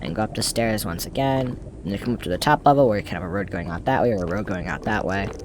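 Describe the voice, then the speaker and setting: Amid noticeable background noise, a man talks at a very fast pace in a fairly low pitch with lively intonation. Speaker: Minecraft YouTuber. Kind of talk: gameplay tutorial commentary. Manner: halting, self-correcting.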